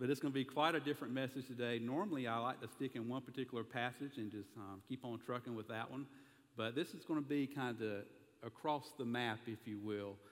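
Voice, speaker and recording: Talking very fast, a man with a Southern US accent keeps a medium pitch. His intonation is fairly even. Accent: Southern American. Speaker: pastor. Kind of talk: sermon.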